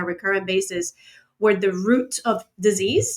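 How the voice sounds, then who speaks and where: A woman with a slight Cuban accent. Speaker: motivational speaker. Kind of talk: interview.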